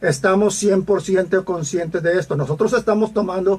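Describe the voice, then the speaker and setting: Here a man is talking. His pitch is high. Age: 60s. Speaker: pastor. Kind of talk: teaching sermon. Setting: radio broadcast. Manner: halting, many fillers.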